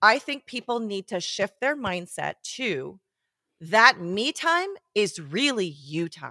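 A woman speaks very slowly at a medium pitch with a bright, sharp tone, her pitch swinging very widely and her loudness rising and falling a lot, on a very clean, dry, close recording with a silent background and no echo. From Switzerland. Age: 40s. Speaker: photographer and educator. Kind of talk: interview. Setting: studio.

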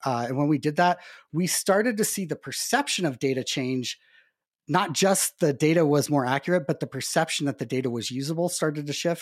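In a plain, everyday voice with an American accent and ordinary pitch variation, the speaker comes through a very clean recording with a silent background and a dry, close sound with no echo. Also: man, fairly high pitch for a man, fairly quick pace. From Montana, US. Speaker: nonprofit technology consultant. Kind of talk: casual interview.

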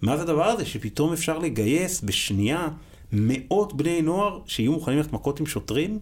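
Over a very clean recording with a silent background, a man speaks at a fairly quick pace in a fairly high voice with vocal fry, very wide pitch swings and very even loudness. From Israel, religious Zionist family. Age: 40s. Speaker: school principal. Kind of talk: casual interview.

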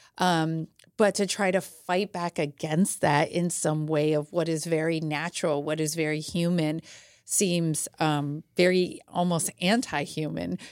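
A woman speaks at a fairly low pitch and a fairly slow pace. The recording is very clean, with a silent background. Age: 40s. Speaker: diversity and inclusion consultant. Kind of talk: casual chat. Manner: animated.

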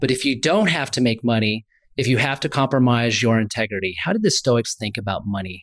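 At a fairly quick pace, a man with an ordinary speaking voice talks in a medium pitch with ordinary pitch variation, in a very clean recording with a silent background. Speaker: investment podcast co-host. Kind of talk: podcast interview.

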